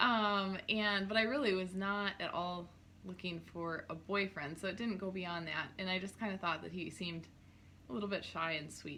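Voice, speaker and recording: A woman speaks in an Upper Midwest accent. Her tone is bright and sharp. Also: medium pitch for a woman, ordinary pitch variation, moderate pace. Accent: Upper Midwest American. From North Dakota, small town. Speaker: clothing stylist, small business owner. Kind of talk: casual chat.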